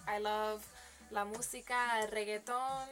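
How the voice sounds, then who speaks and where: Music plays in the background as a woman with a fairly high voice speaks at a fairly slow pace. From Connecticut. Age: 20s. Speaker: student and model. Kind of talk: casual self-introduction video. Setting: on camera. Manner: animated.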